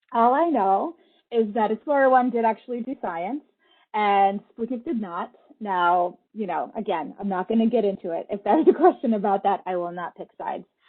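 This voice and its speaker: Fairly high in pitch, a woman talks in an unremarkable speaking voice. She keeps a moderate pace with lively intonation. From Russia, moved to US young. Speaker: creative technologist, space lab team lead. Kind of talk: public talk with slides. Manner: conversational, some fillers.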